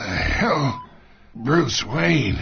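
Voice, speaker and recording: A man puts on a raspy character voice at a medium pitch, swinging very widely up and down. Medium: cartoon. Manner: sly, menacing.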